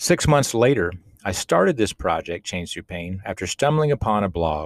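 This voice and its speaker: In an unremarkable speaking voice, a man with a fairly low pitch talks at a moderate pace, captured in a very clean recording with a silent background and a dry, close sound with no echo. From Austin, Texas. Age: 40s. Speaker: podcast host and life coach. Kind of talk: solo podcast monologue, personal storytelling.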